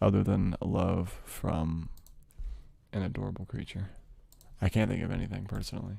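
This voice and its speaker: Speaking at a moderate pace with long, frequent pauses, a man uses a very deep, low pitch, vocal fry, a dark, mellow tone and fairly even intonation. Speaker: ASMR streamer. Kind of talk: casual live stream chat to audience.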